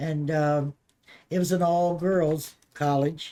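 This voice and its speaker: A woman speaks with an American accent in a very deep, low pitch. Her tone is dark and mellow, and her intonation stays fairly even. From Maryland, US. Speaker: grandmother interviewed by grandchild. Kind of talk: casual family interview. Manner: halting.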